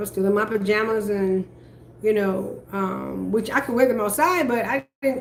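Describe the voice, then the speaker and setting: An animated woman's voice at medium pitch with ordinary pitch variation, over noticeable background noise. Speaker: vlogger. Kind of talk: personal vlog monologue. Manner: loud.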